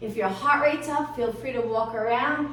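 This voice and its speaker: A woman talks with ordinary pitch variation. Noticeable background noise and audible room echo fill the recording. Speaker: fitness instructor. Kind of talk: guided workout instruction.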